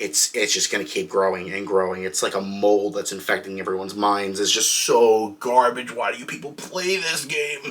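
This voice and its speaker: Over noticeable background noise, a man with a fairly low pitch talks with lively intonation and hardly any pauses. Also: moderate pace. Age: 20s. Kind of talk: comedic rant. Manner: exasperated, profane.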